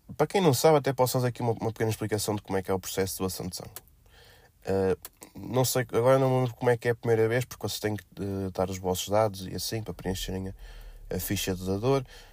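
Very fast and in a medium pitch, a man talks with ordinary pitch variation in a very clean recording with a silent background. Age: 20s. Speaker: podcast host. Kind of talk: casual monologue. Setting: at blood donation site. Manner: hesitant with fillers.

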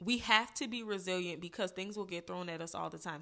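An animated woman with an American accent, medium in pitch and bright, sharp in tone, at a fairly quick pace with ordinary pitch variation, on a very clean recording with a silent background. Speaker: podcast host. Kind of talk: casual opinion monologue. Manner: animated, informal, sassy.

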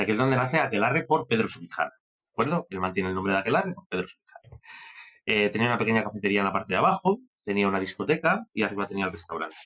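Very fast and lively in intonation, a man's fairly low voice shows big swings in loudness. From Spain, Castilla y León (Benavente). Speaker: sommelier. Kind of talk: interview.

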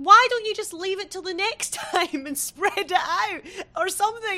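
A woman speaks in a raised, projected voice at a moderate pace. Her pitch is extremely high and varies in an ordinary way. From Britain. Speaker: podcast host. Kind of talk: casual chat.

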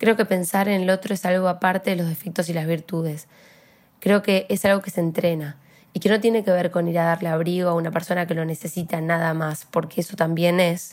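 In an ordinary speaking voice, a woman with a fairly low pitch talks at a fairly quick pace with fairly even intonation, on a very clean recording with a silent background. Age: young. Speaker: podcast host. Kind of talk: personal monologue; casual interview chat. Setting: studio.

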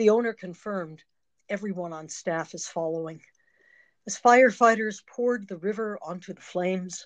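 A woman speaks at a medium pitch with ordinary pitch variation over a quiet background. Hers is a plain, everyday voice. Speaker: poet and retired psychotherapist. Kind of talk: interview, poem read aloud.

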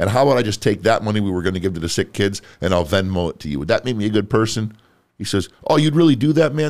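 The man's pitch is fairly low, yet it makes very wide swings. He talks at a very fast pace. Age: 30s. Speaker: podcast host. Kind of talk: casual chat. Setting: studio.

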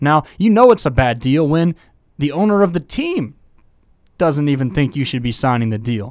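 In a normal speaking voice with an American accent, a man speaks at a fairly high pitch and a moderate pace with lively intonation, on a very clean recording with a silent background. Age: 20s. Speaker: sports podcast host. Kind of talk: solo sports commentary podcast.

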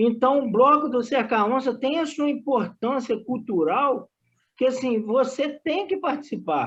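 A man speaks at an extremely high pitch with ordinary pitch variation. He talks at a fairly slow pace over a quiet background. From Brazil, Cataguases, Minas Gerais. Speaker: community sports project worker and student. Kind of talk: casual interview.

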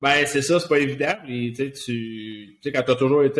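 A man's unremarkable speaking voice at a medium pitch, fairly slow, with fairly even intonation. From Quebec, Laval. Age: 40s. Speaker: retired hockey player. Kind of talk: casual interview.

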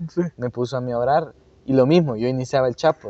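Speaking at a fairly quick pace, a man uses a normal speaking voice with ordinary pitch variation. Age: 20s. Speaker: church youth worker and teacher. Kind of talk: casual interview. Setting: church auditorium.

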